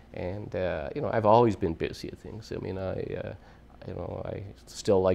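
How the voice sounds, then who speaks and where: This man has a Canadian Prairies accent. He speaks at a fairly quick pace. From Alberta, Canada (Edmonton); Alberta. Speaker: retired oil executive, honorary regimental colonel; interviewee. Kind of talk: interview. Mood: warm, proud, smiling. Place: studio.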